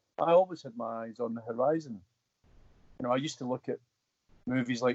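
A man in a west of Scotland accent talks at medium pitch and a moderate pace. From Scotland, Coatbridge (west coast). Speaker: actor. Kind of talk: casual interview.

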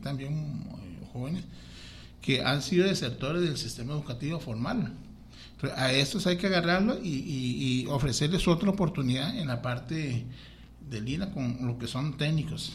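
At a moderate pace, a man with a fairly high pitch, vocal fry and lively intonation speaks in a room with audible echo. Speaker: school principal and vice-mayoral candidate. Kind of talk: radio interview.

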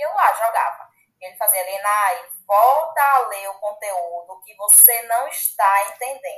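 In a normal speaking voice, a woman speaks at a fairly slow pace and a fairly high pitch, with lively intonation and big swings in loudness. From Bahia, Brazil. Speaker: agronomist and young agribusiness leader. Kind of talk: casual interview.

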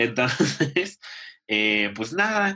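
With ordinary pitch variation, a man's voice has a bright, sharp tone. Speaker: podcast co-host. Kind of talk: casual chat.

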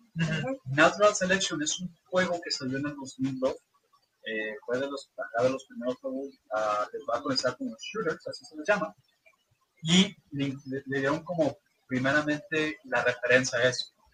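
An unremarkable speaking voice from a man at a moderate pace, with ordinary pitch variation and big swings in loudness. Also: fairly high pitch for a man. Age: 20s. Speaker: gaming content creator. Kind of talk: casual chat.

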